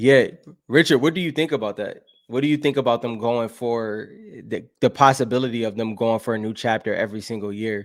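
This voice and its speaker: A man with an American accent has a plain, everyday voice at medium pitch, ordinary pitch variation and a fairly quick pace, on a very clean recording with a silent background. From Buffalo, New York, US. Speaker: gaming podcast host. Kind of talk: live stream chat reading comments. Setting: solo live stream. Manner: casual, with many fillers and restarts.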